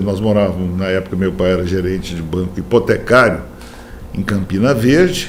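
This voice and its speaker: A man's moderate-speed speech is heard with audible room echo and noticeable background noise. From Brazil, Minas Gerais and Goiás. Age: 70s. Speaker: poet and writer. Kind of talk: interview. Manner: animated.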